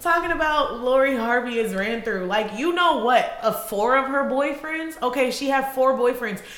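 Over noticeable background noise, a woman with an American accent speaks in an animated tone at a high pitch and a moderate pace, with ordinary pitch variation and hardly any pauses. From Illinois and Georgia, US. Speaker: podcast co-host. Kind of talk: casual chat.

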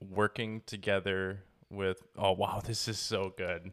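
Fairly slow speech with a Wisconsin accent on a very clean recording with a silent background. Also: man, dry, close sound with no echo. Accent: Wisconsin accent, noticeable. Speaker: dog trainer and podcast host. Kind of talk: casual chat.

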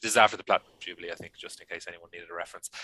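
A man speaks with an Irish accent. The sound is dry and close, with no echo. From Ireland. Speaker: podcast co-host. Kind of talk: casual chat.

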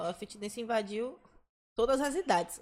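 This woman has an unremarkable speaking voice, pitched fairly high with ordinary pitch variation. She talks at a fairly quick pace. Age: 20s. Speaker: dancer. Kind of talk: casual chat.

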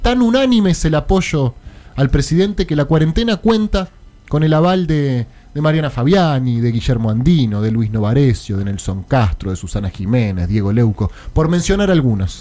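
The speaker has a dark, mellow tone, with very wide pitch swings at a moderate pace. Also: man, fairly high pitch for a man. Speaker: radio host. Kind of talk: radio talk show. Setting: studio.

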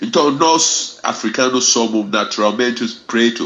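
A man's voice at a medium pitch. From Ghana. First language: Fante / English (speaking Portuguese). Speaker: reggae ambassador and music teacher. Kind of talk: radio interview. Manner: halting.

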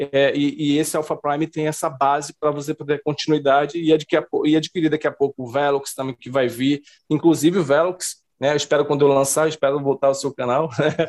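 A man's fairly high, monotone voice at a fairly quick pace, flat in intonation, with a dry, close sound and no echo. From Brazilian Northeast. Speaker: comic book artist. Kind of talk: interview.

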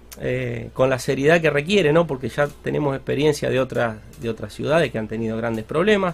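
Here is a man with an unremarkable speaking voice. He talks at a fairly quick pace with lively intonation. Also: medium pitch for a man. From Argentina, Santa Fe province (near Rosario). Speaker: local government leader. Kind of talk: radio interview.

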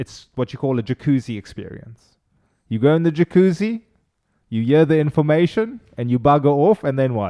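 A man talks at a moderate pace with lively intonation and a fairly high pitch. His tone is dark and mellow, and the sound is dry and close with no echo. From Cape Town, South Africa. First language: Afrikaans. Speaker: chiropractor. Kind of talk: interview.

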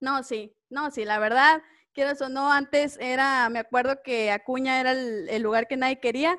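At a moderate pace, a woman talks at a high pitch with ordinary pitch variation, in a very clean recording with a silent background and a dry, close sound with no echo. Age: 20s. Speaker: schoolteacher, podcast co-host. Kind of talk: casual chat.

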